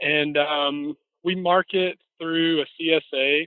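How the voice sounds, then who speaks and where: A man with a Southern US accent. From US South, Mississippi. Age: 30s. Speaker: farmer. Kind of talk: interview. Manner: casual, many fillers.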